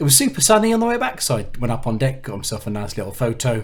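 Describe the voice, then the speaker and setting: A man speaks at a very fast pace. His voice is somewhat breathy, with ordinary pitch variation. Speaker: coach driver vlogger. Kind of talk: casual vlog. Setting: hotel room; in a minibus. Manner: hesitant, many fillers; quiet, keeping voice down.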